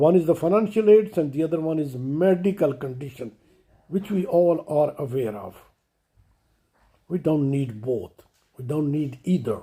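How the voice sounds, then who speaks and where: Somewhat breathy, with a dark, mellow tone, a man speaks in a fairly high pitch with lively intonation. He moves at a fairly slow pace, with long, frequent pauses. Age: 70s. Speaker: commentator, retired financial controller. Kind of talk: impassioned monologue. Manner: emotional, impassioned.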